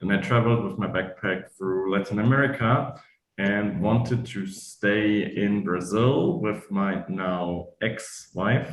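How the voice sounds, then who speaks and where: Very slow speech from a man at a fairly low pitch, with audible room echo. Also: ordinary pitch variation. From Eastern Germany. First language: German. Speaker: German teacher. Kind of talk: online talk interview.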